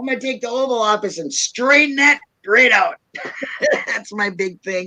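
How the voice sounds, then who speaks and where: The speaker talks with a Minnesotan accent. The pace is moderate. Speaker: YouTuber. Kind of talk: casual chat.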